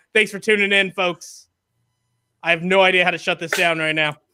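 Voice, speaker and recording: A man uses a raised, projected voice with a bright, sharp tone. His intonation stays fairly even. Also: very clean recording, silent background. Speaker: podcast host. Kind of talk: casual chat. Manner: loud.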